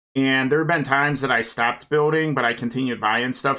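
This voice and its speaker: A man with an American accent speaks fairly quickly at a medium pitch with fairly even intonation, in an unremarkable speaking voice. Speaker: streamer building model kits. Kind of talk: casual live stream chat while building.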